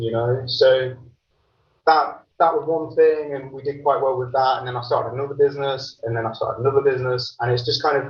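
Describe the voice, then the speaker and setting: A man with an English accent talks at a moderate pace in a fairly high, somewhat breathy voice with fairly even intonation. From England, Lincolnshire (Grantham). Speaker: entrepreneur, managing director. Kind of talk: podcast interview. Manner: hesitant, many fillers and repeats.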